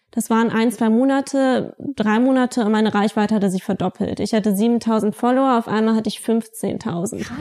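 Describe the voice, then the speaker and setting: At a moderate pace and with hardly any pauses, a woman speaks in a dark, mellow tone at a fairly high pitch, her loudness very even and her intonation fairly even. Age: 20s. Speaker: blogger and social media consultant. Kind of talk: casual interview.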